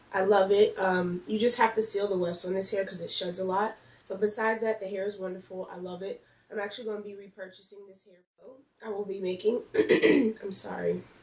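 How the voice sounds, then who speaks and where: A woman's fairly quick, monotone, flat delivery, with big swings in loudness and audible room echo. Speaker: beauty vlogger. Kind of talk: casual vlog update. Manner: hesitant, many fillers. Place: home room. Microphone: camera far.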